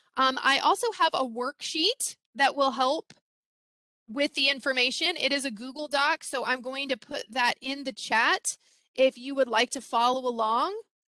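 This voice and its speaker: A woman's raised, projected voice, high in pitch with a bright, sharp tone and ordinary pitch variation. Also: dry, close sound with no echo. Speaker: former teacher, parenting workshop presenter. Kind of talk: webinar presentation. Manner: fast.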